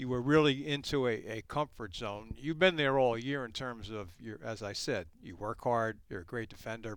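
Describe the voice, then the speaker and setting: A man of medium pitch uses an ordinary speaking voice at a moderate pace, with hardly any pauses, big swings in loudness and ordinary pitch variation, on a very clean recording with a silent background. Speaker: radio play-by-play host. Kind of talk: podcast interview discussion.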